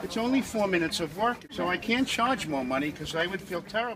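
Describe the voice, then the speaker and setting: Over noticeable background noise, a man talks in a high pitch with very wide pitch swings and a New York accent. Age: 60s. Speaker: airport shoeshiner. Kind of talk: casual interview.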